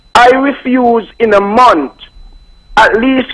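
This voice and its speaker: A man speaks in an extremely high voice while noticeable noise sounds in the background. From Saint Kitts (Sandy Point). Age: 60s. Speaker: caller. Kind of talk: call-in talk.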